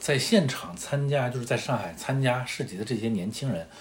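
Speaking at a moderate pace, a man uses a plain, everyday voice with a fairly low pitch. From northern China. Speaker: podcast co-host. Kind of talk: casual chat.

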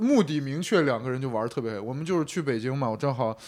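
A man talks at a fairly quick pace with lively intonation, in an unremarkable speaking voice. The recording is very clean, with a silent background. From Shanxi. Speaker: podcast co-host. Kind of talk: casual chat.

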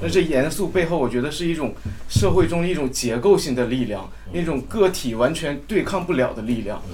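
Here is a man with a plain, everyday voice. His pitch is fairly high and his pace fairly quick. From Jilin, China. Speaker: fan attendee. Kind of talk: casual group sharing. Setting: live event with audience.

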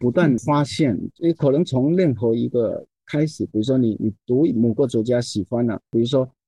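A man's dark, mellow tone with lively intonation at a moderate pace, in a dry, close sound with no echo. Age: 60s. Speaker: poet and translator. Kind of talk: casual chat.

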